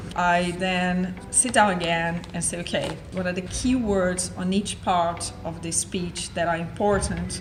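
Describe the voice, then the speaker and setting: A woman with a non-native accent at a fairly low pitch, fairly slow with hardly any pauses, fairly even intonation, music in the background and audible room echo. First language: not English. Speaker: entrepreneur. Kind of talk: vlog monologue.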